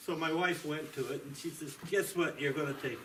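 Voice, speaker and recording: A man talks at a fairly quick pace, his pitch fairly high for a man. Noticeable background noise and audible room echo surround him. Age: 70s. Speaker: military veteran, patient. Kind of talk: testimony.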